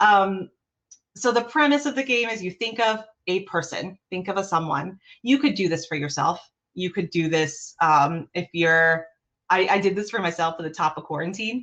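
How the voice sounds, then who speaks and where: The background is quiet as a woman talks at a moderate pace with lively intonation. She has an unremarkable speaking voice, medium in pitch. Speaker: behavioural analyst leading an improv workshop. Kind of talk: online workshop presentation. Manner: casual, filler-heavy.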